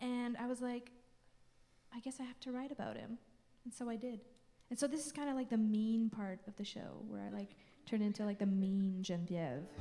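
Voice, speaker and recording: With lively intonation and long, frequent pauses, a woman speaks at a fairly high pitch. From French Canada. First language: French. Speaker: folk singer-songwriter. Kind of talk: between-song stage banter. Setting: concert stage with audience. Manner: casual, hesitant with fillers.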